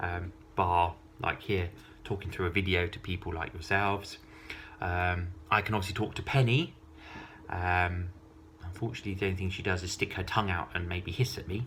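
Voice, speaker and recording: With an English accent and a very deep, low pitch, a man talks at a fairly quick pace with fairly even intonation. Long, frequent pauses break his speech, and noticeable background noise is present. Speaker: vlogger. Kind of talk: casual monologue to camera. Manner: hesitant, many ums.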